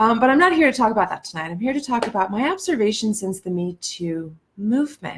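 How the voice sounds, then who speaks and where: This woman has an American accent and a fairly high pitch. She swings her pitch very widely and barely pauses. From Ohio, US Midwest. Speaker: life coach and speaker. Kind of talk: live-stream monologue. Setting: Facebook live stream. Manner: deliberately slower than usual.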